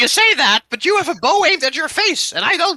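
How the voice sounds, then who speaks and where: In a put-on character voice, the speaker shouts at an extremely high pitch and a fairly quick pace. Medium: actual play. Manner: shouty, insistent.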